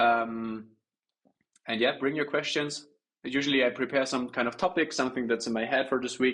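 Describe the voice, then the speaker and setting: With a German accent, a man speaks at a fairly quick pace and medium pitch against a quiet background. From Germany. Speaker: trader. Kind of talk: livestream Q&A. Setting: livestream. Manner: halting, many fillers.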